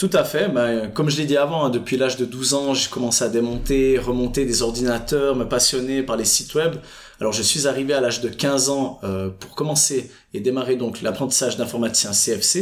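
At a moderate pace, a man speaks in a normal speaking voice, medium in pitch with ordinary pitch variation. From Switzerland, Fribourg. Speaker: entrepreneur. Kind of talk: interview. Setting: office by Lake Geneva.

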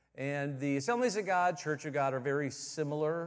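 A man with an American accent talks at a fairly quick pace with ordinary pitch variation. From Michigan, US Midwest. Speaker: visiting pastor. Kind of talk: sermon. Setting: church service with congregation.

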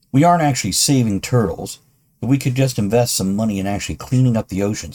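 A man's dark, mellow, somewhat breathy tone, very fast in pace, with lively intonation. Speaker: podcast host and author. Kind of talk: casual chat, comedic banter with ad read. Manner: joking, irreverent.

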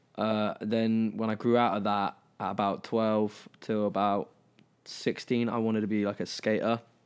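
In a very clean recording with a silent background, a man with a southern English accent speaks at a moderate pace, his fairly low pitch in a monotone, flat intonation. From England, Brighton. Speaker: singer. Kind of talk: casual chat.

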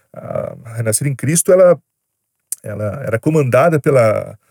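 Recorded very cleanly against a silent background, a man speaks at a moderate pace with a dry, close sound and no echo. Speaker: YouTuber. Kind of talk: storytelling monologue. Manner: casual, slangy.

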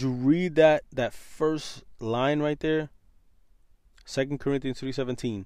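In a plain, everyday voice, a man with an American accent talks at a fairly slow pace, fairly high in pitch with fairly even intonation, on a very clean recording with a silent background. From New York City. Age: 30s. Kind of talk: podcast monologue with Bible teaching.

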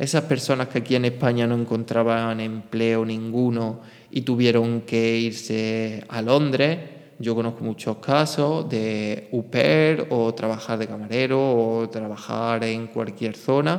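A man speaks at a very slow pace with fairly even intonation. His pitch is medium. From Spain. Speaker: podcast host. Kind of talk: solo monologue podcast.

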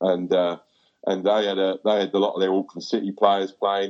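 A man with an Essex accent speaks at a fairly low pitch. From Essex, England. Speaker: goalkeeping coach. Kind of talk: casual chat. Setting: video call.

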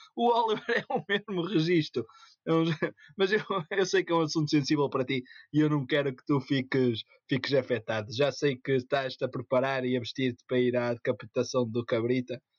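He speaks at a moderate tempo, pitched fairly high for a man. His is an ordinary speaking voice, with ordinary pitch variation. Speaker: podcast co-host. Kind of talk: casual chat.

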